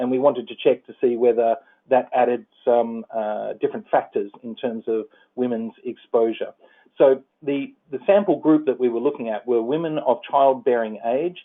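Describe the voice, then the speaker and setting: A man with an Australian accent at a medium pitch, with ordinary pitch variation, big swings in loudness and a moderate pace. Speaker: environmental policy advisor. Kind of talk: presentation. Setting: phone call. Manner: halting, many fillers.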